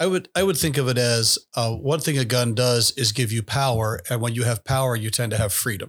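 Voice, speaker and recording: A man's somewhat breathy, medium-pitched voice with an American accent, ordinary pitch variation, very even loudness, a fairly quick pace, hardly any pauses and a dry, close sound with no echo. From US, Mennonite community. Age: 50s. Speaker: pastor and ethics teacher, podcast co-host. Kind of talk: casual chat.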